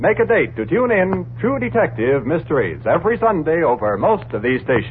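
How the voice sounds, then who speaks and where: The pitch swings very widely. Background noise is noticeable. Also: man. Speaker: radio announcer. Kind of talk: old-time radio announcements, credits and promos. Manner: formal, crisp.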